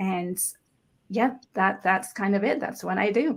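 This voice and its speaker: In a very clean recording with a silent background, a woman with vocal fry speaks at a moderate pace, medium in pitch with ordinary pitch variation. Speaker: author and healing practitioner. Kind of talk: podcast interview.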